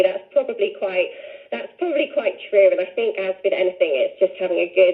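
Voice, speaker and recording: Noticeable background noise runs beneath speech that proceeds at a moderate pace. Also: woman. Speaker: fitness instructor and business owner. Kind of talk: radio interview. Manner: animated.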